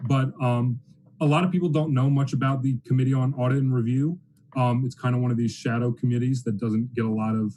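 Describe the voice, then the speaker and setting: A man with an American accent talks at a fairly quick pace in a medium pitch. His tone is dark and mellow, and somewhat breathy. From US South, New Orleans, Louisiana. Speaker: student government nominee. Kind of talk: meeting speech.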